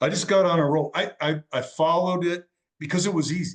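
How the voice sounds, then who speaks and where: Fairly quick speech in an American accent, with ordinary pitch variation. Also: man. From Wisconsin, US Midwest. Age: 60s. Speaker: fitness transformation challenge winner. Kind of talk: podcast interview. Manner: halting.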